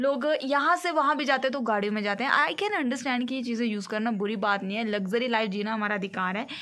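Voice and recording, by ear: A woman's fairly high-pitched voice at a fast pace. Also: ordinary pitch variation.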